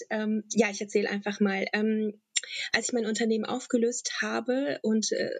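A woman with a fairly high pitch delivers her lines at a moderate pace. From Germany, Bonn area (born in Tajikistan, moved at 7). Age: 30s. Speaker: businesswoman, course leader. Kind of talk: interview. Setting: virtual studio, online recording. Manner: hesitant, many fillers.

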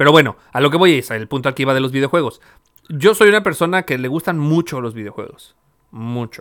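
With a Mexican accent, a man talks at a fairly quick pace in a fairly high pitch, his intonation lively. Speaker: podcast host. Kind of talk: casual chat.

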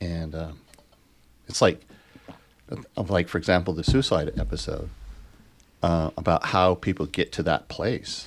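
With vocal fry and lively intonation, a man speaks in a very deep, low pitch at a moderate pace, leaving long, frequent pauses in a very clean recording with a silent background. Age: 60s. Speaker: behavioral health advocate and podcast co-host. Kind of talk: casual chat.

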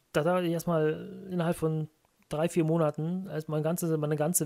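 Delivered at a moderate pace, the voice has a dark, mellow tone and flat, monotone intonation. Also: man. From Rhineland, Germany (Brühl area near Cologne). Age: 30s. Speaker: gaming podcast co-host. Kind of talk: casual chat.

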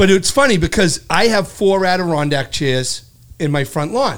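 Speaking with a Boston accent, a man talks at a high pitch. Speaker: podcast co-host, insurance adjuster. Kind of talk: casual chat. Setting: studio.

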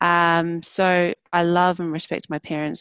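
In a New Zealand accent, a woman speaks with monotone, flat intonation. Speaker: wellbeing practitioner. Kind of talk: interview. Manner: hesitant fillers.

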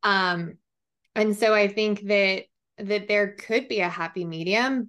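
A plain, everyday voice belongs to a woman speaking at a fairly slow pace. Her intonation stays fairly even against a quiet background. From Colorado, small town. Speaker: business consultant. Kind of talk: casual interview.

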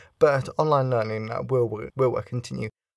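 A man's medium-pitched voice at a fairly quick pace, on a very clean recording with a silent background. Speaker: podcast host. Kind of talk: solo podcast monologue on psychology. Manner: fast talker.

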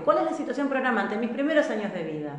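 A woman speaks in a high voice with a Rioplatense accent. Her tone is animated, and the room echo is audible. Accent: Argentine Rioplatense Spanish. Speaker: transgenerational therapist and live-stream host. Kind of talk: live-stream talk answering viewer questions. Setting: live online stream.

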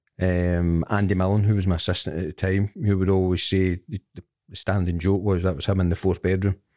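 In a Scottish accent, a man talks at a fairly quick pace with a very deep, low pitch and a dark, mellow tone. His intonation is monotone and flat, and the sound is dry and close with no echo against a quiet background. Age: 50s. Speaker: former football player and manager. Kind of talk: interview.

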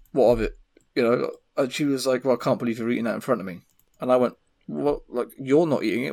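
Here a man with an English accent speaks at a medium pitch. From England. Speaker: podcast host. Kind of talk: casual chat. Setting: video call.

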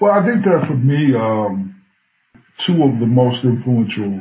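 A man with a plain, everyday voice talks at a fairly slow pace. His pitch varies in an ordinary way. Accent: American. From Bloomington, Illinois, US Midwest. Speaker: professor. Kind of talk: interview.

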